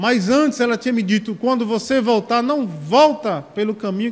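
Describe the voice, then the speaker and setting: A man with a Paraíba accent and lively intonation. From Sapé, Paraíba, Brazil. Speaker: deacon preacher. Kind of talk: sermon.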